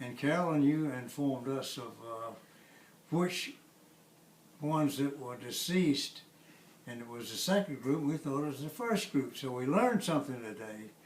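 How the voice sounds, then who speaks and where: An American accent from a man with fairly high pitch and ordinary pitch variation, at a moderate pace with long, frequent pauses and big swings in loudness, plus audible room echo and noticeable background noise. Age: 90s. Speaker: family elder. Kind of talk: oral history interview. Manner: halting.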